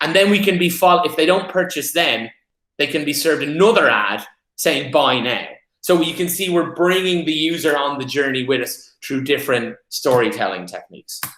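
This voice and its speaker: A man with an Irish accent speaks at a fairly high pitch and a moderate pace. His tone is bright and sharp, with ordinary pitch variation. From Ireland. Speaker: paid media specialist. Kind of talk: presentation.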